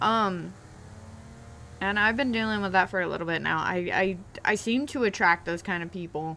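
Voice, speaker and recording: Loud and with a bright, sharp tone, a woman speaks at a moderate pace in a fairly low pitch with ordinary pitch variation. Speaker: gaming YouTuber. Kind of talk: casual story time over gameplay.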